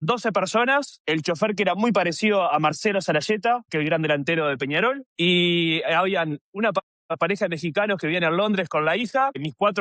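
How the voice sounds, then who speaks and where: A man with a Uruguayan accent talks at a fairly quick pace. His high-pitched voice has lively intonation. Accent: Rioplatense Spanish (Uruguayan). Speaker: podcast host. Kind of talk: casual interview conversation.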